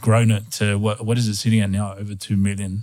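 Fairly quick, monotone, flat speech from a fairly low-pitched man with an Australian accent, on a very clean recording with a silent background. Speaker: podcast co-host. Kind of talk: interview.

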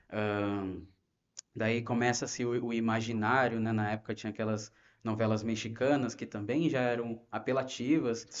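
A man with a plain, everyday voice speaks in a medium pitch at a moderate pace, with fairly even intonation. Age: 30s. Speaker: ministry volunteer. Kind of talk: personal testimony.

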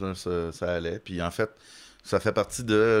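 With a Quebec accent, a man talks in a fairly low pitch at a fairly slow pace with fairly even intonation, on a very clean recording with a silent background. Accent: Québécois French. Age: 30s. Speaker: comedian. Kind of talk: casual chat.

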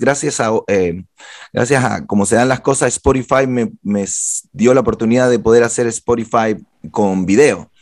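An unremarkable speaking voice from a man at medium pitch, moderate pace, very clean recording with a silent background. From Chile. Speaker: podcast host, publicist. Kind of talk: casual interview.

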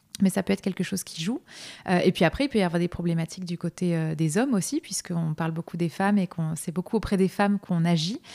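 A woman's fairly low, dark, mellow voice at a very fast pace with ordinary pitch variation, on a very clean recording with a silent background. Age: 30s. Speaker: naturopath. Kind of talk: interview. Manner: hesitant, many filler words.

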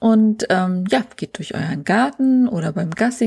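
A woman speaks at a fairly slow pace and medium pitch, with very wide pitch swings. Her tone is dark and mellow, somewhat breathy. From northern Germany, Schleswig-Holstein coast. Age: 40s. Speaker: photographer and podcast host. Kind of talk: solo podcast monologue.

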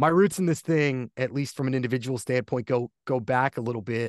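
Here is a man with an American accent and an unremarkable speaking voice at medium pitch. He keeps a moderate pace, and the sound is dry and close with no echo. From US Northeast, Poconos, Pennsylvania. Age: 30s. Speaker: play-by-play announcer. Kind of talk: casual chat.

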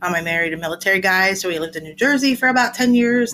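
With an American accent, a woman talks at a very fast pace with lively intonation over noticeable background noise. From South Central Pennsylvania. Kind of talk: interview, casual chat.

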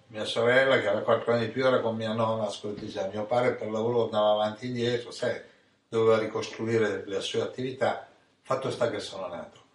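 A man speaks at a very fast pace. Room echo can be heard. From Italy, Ancona (Marche). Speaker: spiritual teacher. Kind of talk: storytelling chat.

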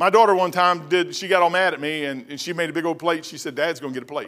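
Talking at a very fast pace, a man with a Kentucky accent sounds animated. His tone is bright and sharp. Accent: Southern US (Kentucky). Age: 60s. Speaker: pastor. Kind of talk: sermon. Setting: church.

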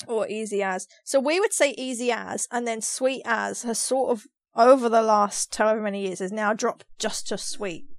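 With a London accent and an animated tone, a woman talks at a moderate pace with hardly any pauses, her fairly high pitch showing ordinary variation, in a very clean recording with a silent background. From London, England. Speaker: podcast co-host. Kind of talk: casual chat.

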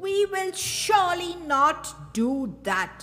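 A woman's put-on character voice, bellowing and angry, extremely high in pitch, at a fairly slow pace. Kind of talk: fiction narration, read aloud. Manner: roaring, angry.

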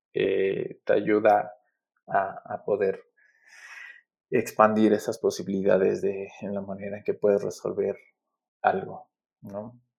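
A man talks at a very slow pace, his loudness swinging widely between long, frequent pauses. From Mexico, Aguascalientes. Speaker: graphic designer. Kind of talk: casual interview. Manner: halting, many repetitions.

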